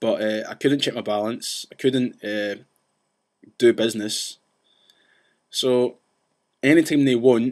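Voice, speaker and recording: A man speaks with a Scottish accent. He leaves long, frequent pauses. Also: medium pitch for a man. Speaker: vlogger ranting about banks. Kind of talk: casual vlog rant. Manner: fast; animated.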